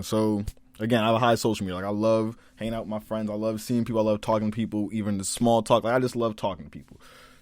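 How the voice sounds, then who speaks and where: An American accent delivered in a monotone, flat intonation. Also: man. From Maryland, Prince George's County (DC area). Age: young. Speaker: college student podcaster. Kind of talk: casual monologue podcast.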